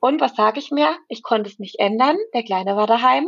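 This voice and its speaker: With vocal fry and a fairly high pitch, a woman speaks at a fairly quick pace. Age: 20s. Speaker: pregnant mother, course graduate. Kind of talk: personal testimony in interview.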